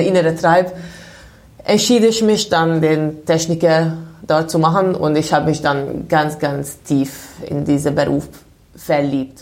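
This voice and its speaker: A woman with a Hungarian accent speaks at a fairly slow pace in a very deep, low voice, her intonation fairly even, with audible room echo. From Hungary, Budapest. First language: Hungarian (speaking German). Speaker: winemaker. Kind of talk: interview. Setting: wine cellar.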